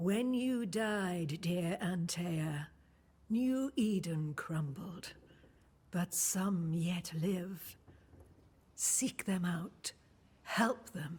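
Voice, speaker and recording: A put-on character voice, female-sounding and medium in pitch, at a very slow pace with long, frequent pauses. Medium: video game. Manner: calm, cryptic, affectionate.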